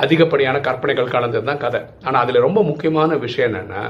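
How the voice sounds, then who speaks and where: Against audible room echo, a man speaks at a medium pitch in a somewhat breathy voice. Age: 50s. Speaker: YouTube advice speaker. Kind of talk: monologue advice talk. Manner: conversational.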